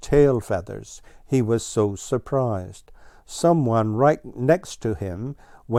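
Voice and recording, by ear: Ordinary pitch variation, reading aloud in a natural voice.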